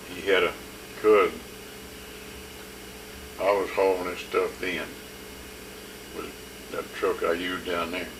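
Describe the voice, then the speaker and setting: A man speaks with long, frequent pauses. Noticeable background noise runs behind him. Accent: American. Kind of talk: interview answer. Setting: home video recording.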